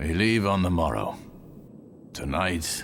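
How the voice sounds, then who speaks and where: A man's put-on character voice, very deep and low, raspy with a relaxed tone and lively intonation, at a fairly slow pace over clear background noise. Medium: video game. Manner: relaxed, wry.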